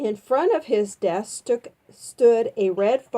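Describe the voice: Plain reading aloud, nothing more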